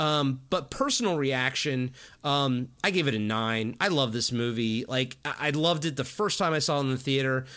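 A man talks at a moderate pace with a bright, sharp tone and very even loudness. The recording is very clean, with a silent background. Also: medium pitch for a man, ordinary pitch variation. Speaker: podcast host guest. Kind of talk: casual chat.

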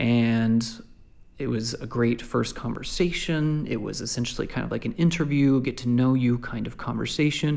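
It's a plain, everyday voice: a man with an American accent at a medium pitch and moderate pace, with ordinary pitch variation. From Lubbock, Texas. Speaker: podcast host and mission worker. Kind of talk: scripted monologue; casual interview. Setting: at a dining room table.

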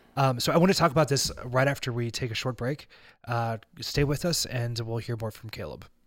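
Fairly quick speech from a man, an unremarkable speaking voice at a medium pitch with ordinary pitch variation. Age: 30s. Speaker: podcast host. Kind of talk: casual chat.

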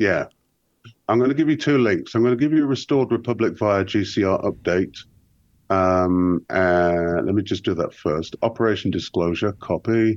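A man with an ordinary speaking voice, fairly low in pitch, at a moderate pace with lively intonation, very even loudness and a quiet background. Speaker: guest researcher. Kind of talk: casual chat. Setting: remote call.

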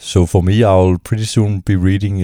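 With a Danish accent, a man speaks in a dark, mellow tone. The sound is dry and close with no echo, on a very clean recording with a silent background. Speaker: music academic and PhD student. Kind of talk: solo podcast monologue. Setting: at home on couch. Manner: halting.

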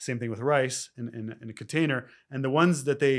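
An ordinary speaking voice from a man at medium pitch, at a fairly quick pace with fairly even intonation, on a very clean recording with a silent background. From Canada (Toronto). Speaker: spiritual life coach. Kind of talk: casual interview.

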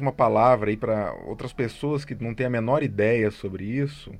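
An ordinary speaking voice, a man at a medium pitch and moderate pace. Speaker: podcast host, music institute director. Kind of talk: interview.

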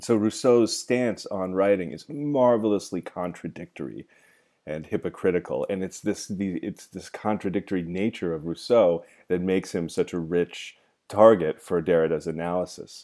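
A man with a West Coast US accent speaks at a moderate pace in a very deep, low pitch with a dark, mellow tone and ordinary pitch variation. His loudness swings widely on a very clean recording with a silent background. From Oregon, US (small town in southern Oregon). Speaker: university lecturer. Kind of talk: lecture. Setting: solo podcast recording.

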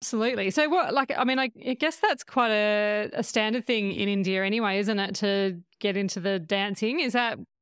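Speaking with an Australian accent, a woman keeps a fairly high pitch, very even loudness, ordinary pitch variation and hardly any pauses. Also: fairly quick pace, very clean recording, silent background. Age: 40s. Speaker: podcast host. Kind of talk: casual chat.

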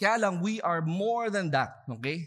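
A man with a Filipino accent speaks in a bright, sharp tone. His intonation is lively. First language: Tagalog. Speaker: pastor. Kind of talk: sermon. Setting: church service, streamed online.

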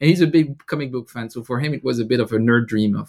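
A man is talking. His speech comes with a French accent. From France. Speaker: board game designer and YouTuber. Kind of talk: interview. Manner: hesitant, many fillers.

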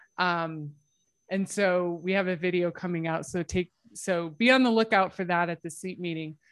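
In a normal speaking voice, a woman with an American accent talks at a moderate pace, her fairly low pitch held in fairly even intonation. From United States. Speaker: sleep scientist. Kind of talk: casual interview. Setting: video call.

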